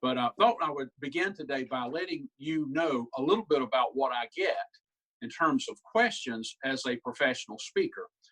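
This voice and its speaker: With a Southern US accent, a man's fairly high, bright, sharp voice makes very wide pitch swings in a dry, close sound with no echo. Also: moderate pace. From South Carolina. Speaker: humorist and professional speaker. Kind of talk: humorous keynote talk. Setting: video call.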